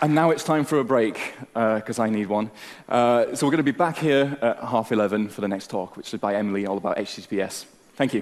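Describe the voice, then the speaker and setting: A man's medium-pitched voice at a very fast pace. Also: ordinary pitch variation. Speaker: conference speaker. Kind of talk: tech talk.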